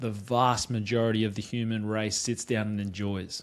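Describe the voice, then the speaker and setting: A man with an Australian accent at a moderate pace. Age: 30s. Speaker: podcast host. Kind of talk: casual chat.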